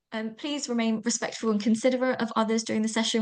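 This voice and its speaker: This is a woman speaking. She talks with a British accent. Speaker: online event host. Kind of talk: webinar housekeeping and agenda. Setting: video call. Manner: fast.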